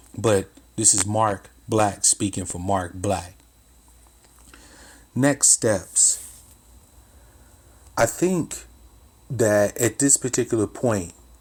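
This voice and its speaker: At a very slow pace with long, frequent pauses, a man speaks in a somewhat breathy, fairly low voice with ordinary pitch variation. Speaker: commentary vlogger. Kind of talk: spoken commentary, unscripted. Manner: hesitant, with pauses.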